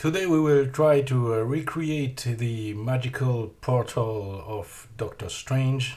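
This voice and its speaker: A man with a French accent talks at a fairly slow pace with ordinary pitch variation. His voice is somewhat breathy. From France. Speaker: 3D artist and teacher. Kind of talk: software tutorial narration.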